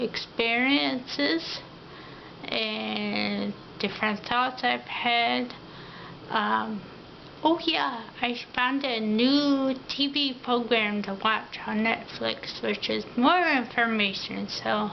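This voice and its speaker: With audible room echo and noticeable background noise, a woman speaks at a very slow pace. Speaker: vlogger. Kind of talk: personal video diary. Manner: many filler ums.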